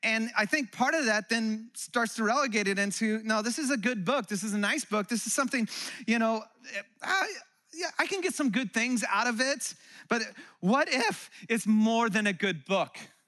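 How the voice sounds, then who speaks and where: A man's raised, projected voice, high in pitch, bright and sharp in tone, at a moderate pace with ordinary pitch variation. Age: 40s. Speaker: pastor. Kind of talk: sermon. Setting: church.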